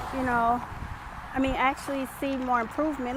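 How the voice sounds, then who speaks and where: A woman speaks at a high pitch over noticeable background noise. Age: young. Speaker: lifestyle vlogger. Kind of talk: personal vlog monologue. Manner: hesitant, many ums.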